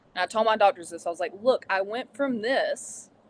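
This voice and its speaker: A woman speaks at a moderate pace with a fairly high pitch. It is an unremarkable speaking voice. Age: 30s. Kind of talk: interview answer.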